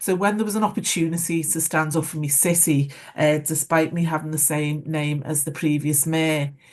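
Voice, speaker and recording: A woman with a Liverpool accent talks at a moderate pace with hardly any pauses. Her pitch is very deep and low, and her intonation fairly even. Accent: Scouse. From Liverpool, England. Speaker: former mayor. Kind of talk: panel discussion. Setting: online webinar. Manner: hesitant, many fillers.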